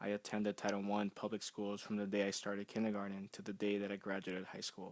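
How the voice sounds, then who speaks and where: At a very fast pace, a man with a Spanish accent speaks in a fairly low, monotone, flat voice, the sound dry and close with no echo. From South Central Los Angeles, California. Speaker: college graduate and youth mentor. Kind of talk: personal statement narration.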